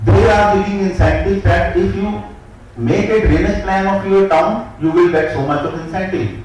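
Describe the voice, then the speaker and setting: A man's voice at a moderate pace, with audible room echo and noticeable background noise. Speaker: town planning official. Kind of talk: conference talk.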